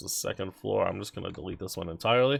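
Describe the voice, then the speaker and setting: A man with a very deep, low pitch speaks with very wide pitch swings. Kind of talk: game-building tutorial narration. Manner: casual, hesitant with many fillers.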